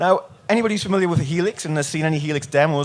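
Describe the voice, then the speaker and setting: A man with a northern English accent talks at a very fast pace, his fairly high voice rising and falling in an ordinary way. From northern England. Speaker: product demonstrator. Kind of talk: product demo. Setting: trade show stage.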